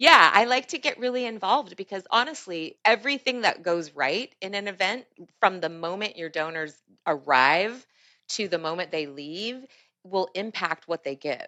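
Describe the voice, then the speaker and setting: Her tone energetic and enthusiastic, a woman speaks at a medium pitch with very wide pitch swings. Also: moderate pace. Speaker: auctioneer, fundraiser. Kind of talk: interview answer. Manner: energetic, enthusiastic.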